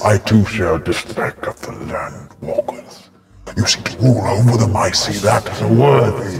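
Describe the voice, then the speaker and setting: A booming put-on character voice at a moderate pace. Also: man, fairly low pitch for a man. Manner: slow, looming, grand.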